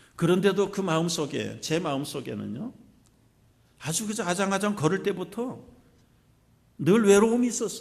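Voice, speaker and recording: In a room with audible echo, a man speaks at a fairly slow pace and a high pitch. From South Korea, Jeolla region (Suncheon area). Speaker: pastor. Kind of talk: sermon.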